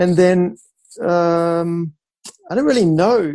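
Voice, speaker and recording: A man with a New Zealand accent speaks at a high pitch. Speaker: professional photographer and sailor. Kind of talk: interview. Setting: remote call.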